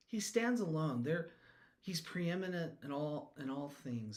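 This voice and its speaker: In a room with audible echo, a man speaks in a somewhat breathy voice with very wide pitch swings. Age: 60s. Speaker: devotional songwriter and Bible teacher. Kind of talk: casual devotional talk. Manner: animated; halting.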